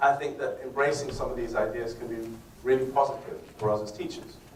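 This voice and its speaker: With noticeable background noise and audible room echo, someone talks at a fairly quick pace. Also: man. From northern England. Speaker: English teacher giving a lecture. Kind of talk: lecture. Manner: fast.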